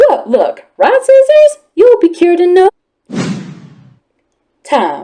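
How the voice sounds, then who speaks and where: A put-on character voice at an extremely high pitch moves at a fairly slow pace, with very wide pitch swings and long, frequent pauses. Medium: read story. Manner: earnest.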